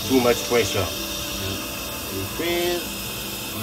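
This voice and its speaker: With clear music in the background, a man speaks with ordinary pitch variation. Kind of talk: tutorial. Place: boat. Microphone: phone near.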